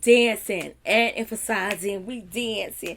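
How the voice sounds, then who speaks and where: Pitched fairly high, a woman speaks in an animated tone. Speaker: event planner. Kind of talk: vlog tutorial. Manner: fast.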